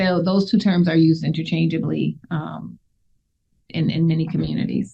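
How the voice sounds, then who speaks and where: A woman's fairly low voice, dark and mellow in tone, with vocal fry and a fairly quick pace. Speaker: mental health nurse practitioner. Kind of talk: radio interview. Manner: fast.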